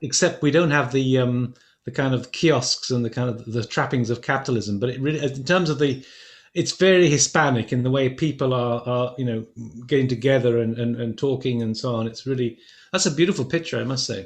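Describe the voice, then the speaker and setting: Somewhat breathy, a man talks at a medium pitch. His pace is fairly quick, with ordinary pitch variation. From England. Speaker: lecture series moderator, professor. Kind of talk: panel discussion. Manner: halting, many repetitions.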